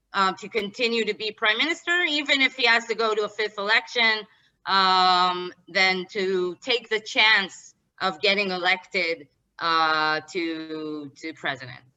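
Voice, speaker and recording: With lively intonation, a woman speaks in an Israeli accent. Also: medium pitch for a woman, fairly slow pace. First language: Hebrew. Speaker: political analyst. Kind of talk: interview. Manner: halting.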